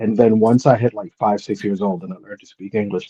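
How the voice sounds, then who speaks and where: In a Spanish accent, a man talks at a very fast pace with a dark, mellow tone, a fairly low pitch and ordinary pitch variation, recorded in a dry, close sound with no echo. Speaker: hat collector. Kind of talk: casual chat.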